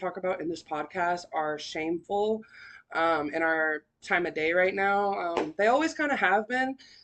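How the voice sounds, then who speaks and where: Lively intonation over a quiet background. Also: woman. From Sacramento, California. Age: 20s. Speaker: podcast host. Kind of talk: personal testimony podcast. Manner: casual, filler-heavy.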